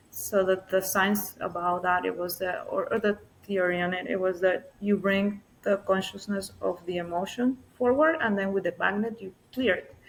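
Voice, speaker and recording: A soft-spoken woman's voice at a medium pitch, moderate pace, and fairly even intonation. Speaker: somatic healing practitioner. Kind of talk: interview conversation.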